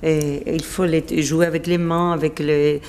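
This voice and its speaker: A very slow delivery against noticeable background noise. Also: woman. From Spain. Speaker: opera singer. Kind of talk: interview answer. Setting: indoors.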